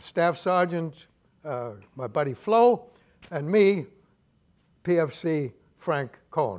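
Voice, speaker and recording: A man at a very slow pace, with very wide pitch swings and long, frequent pauses against a quiet background. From Germany. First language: German. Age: 90s. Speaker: retired army colonel, war veteran. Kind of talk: panel talk, personal recollection. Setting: stage with audience. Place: stage.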